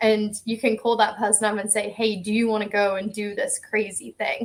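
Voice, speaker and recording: A woman speaks with an English accent at a moderate pace. Her pitch is fairly high, and her intonation stays monotone and flat. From England. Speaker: ocean rower. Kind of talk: casual interview.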